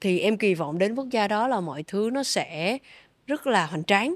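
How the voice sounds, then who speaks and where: At a moderate pace and medium pitch, a woman speaks in an ordinary speaking voice with lively intonation, the recording very clean with a silent background and a dry, close sound with no echo. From Vietnam. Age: 20s. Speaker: triathlete and sports company community manager. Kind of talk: interview.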